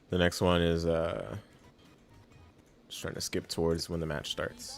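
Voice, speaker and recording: Music plays in the background. The speaker goes at a fairly slow pace with long, frequent pauses. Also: man. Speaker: fighting game commentator. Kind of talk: game analysis commentary. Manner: casual, conversational.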